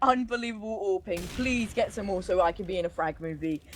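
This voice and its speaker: An animated woman at a fairly quick pace, with noticeable background noise. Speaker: esports caster. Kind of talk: live commentary.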